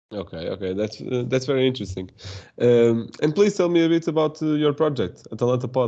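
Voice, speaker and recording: Against a quiet background, a man with a Portuguese accent talks at a fairly quick pace and medium pitch, his tone dark and mellow and his intonation lively. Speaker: podcast host. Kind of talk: podcast interview. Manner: halting.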